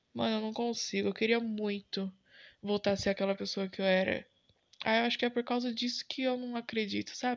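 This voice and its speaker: A quiet background sits behind speech delivered at a moderate pace. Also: woman. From São Paulo, Brazil (east zone). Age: 20s. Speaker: podcaster. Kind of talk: unscripted solo monologue. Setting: home bedroom. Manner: casual, slangy.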